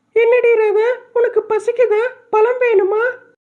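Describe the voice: A cartoonish character voice, female-sounding, extremely high in pitch, monotone and flat, at a fairly slow pace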